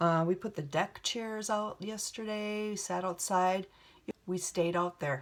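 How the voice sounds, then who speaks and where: At a very slow pace, a woman with a Minnesota accent speaks at medium pitch with ordinary pitch variation. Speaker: beauty vlogger. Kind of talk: makeup tutorial chat. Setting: home video set. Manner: casual, many fillers.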